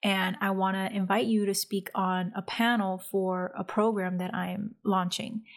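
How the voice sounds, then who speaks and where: A soft-spoken woman talks at a medium pitch. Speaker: podcast host and coach. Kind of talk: solo podcast monologue, casual coaching talk. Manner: soft-spoken, introverted by her own account.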